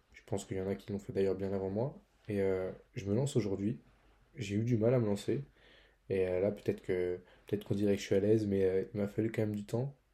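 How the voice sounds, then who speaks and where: A man talks at a fairly quick pace but leaves long, frequent pauses. His tone is dark and mellow, his intonation fairly even. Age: 20s. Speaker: student podcast host. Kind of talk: solo podcast monologue. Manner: halting, many fillers; casual.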